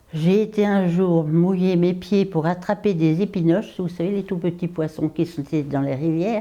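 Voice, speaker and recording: A woman's fairly low-pitched, dark, mellow voice at a moderate pace, with fairly even intonation. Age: 90s. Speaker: retirement home resident. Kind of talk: personal storytelling interview. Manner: conversational with hesitations.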